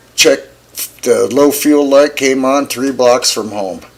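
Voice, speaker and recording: A man speaks at a medium pitch with an American accent. Noticeable background noise sits behind him. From US West, Flagstaff, Arizona. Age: 70s. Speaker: podcast host. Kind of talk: casual chat.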